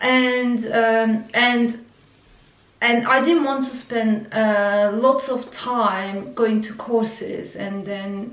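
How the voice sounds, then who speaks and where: A woman with a Turkish accent speaks at a very slow pace in a fairly high voice, her intonation fairly even. Audible room echo and noticeable background noise surround her. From Turkey. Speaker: vlogger. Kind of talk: personal story. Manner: halting, many fillers.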